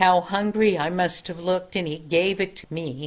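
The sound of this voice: Reading aloud in an unforced voice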